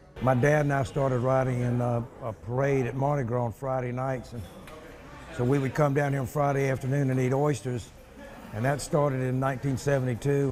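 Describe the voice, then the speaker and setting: Speaking fairly quickly with an American accent, a man keeps a medium pitch and monotone, flat intonation. Noticeable background noise and audible room echo fill the recording. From US South. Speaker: interviewee. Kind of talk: interview.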